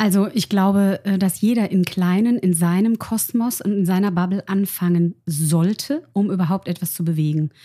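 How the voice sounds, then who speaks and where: A woman speaks at medium pitch and a moderate pace, with hardly any pauses and very even loudness. Her tone is dark, mellow and somewhat breathy, with ordinary pitch variation and a dry, close sound with no echo. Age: 40s. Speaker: make-up artist. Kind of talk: conversational interview.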